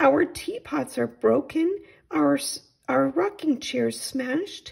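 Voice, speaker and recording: This woman uses a put-on character voice pitched high. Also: fairly slow pace. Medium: read story.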